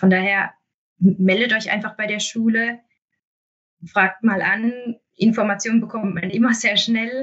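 A woman's voice comes across somewhat breathy, with fairly even intonation. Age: 30s. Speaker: municipal health manager. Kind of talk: interview. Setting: remote recording.

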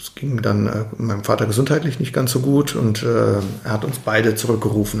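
A man talks at medium pitch and a fairly slow pace with ordinary pitch variation. Noticeable background noise and audible room echo fill the recording. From Germany, Mainz. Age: 40s. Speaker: construction business owner. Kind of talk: interview.

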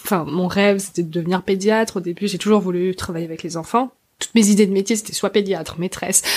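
A woman at a very fast pace with fairly even intonation. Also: medium pitch for a woman. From Alsace, France. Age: 20s. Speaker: podcaster. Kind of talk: interview.

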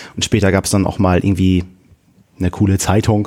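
A man talks in a very deep, low pitch. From northern Germany, Friesland-Wilhelmshaven. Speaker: church youth volunteer. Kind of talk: casual chat.

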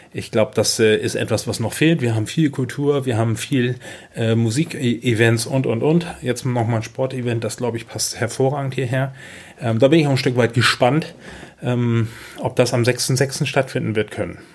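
A man at medium pitch with fairly even intonation and a moderate pace, against noticeable background noise. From northern Germany, Schleswig-Holstein (Kropp near Schleswig). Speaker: city marketing manager. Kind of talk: interview. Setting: at the guest's table.

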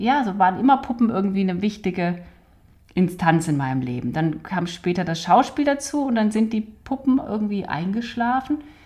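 A woman with a dark, mellow, somewhat breathy voice at medium pitch talks at a moderate pace with very wide pitch swings. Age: 40s. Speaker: doll maker, clown and actress. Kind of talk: casual conversation. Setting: home studio in an apartment.

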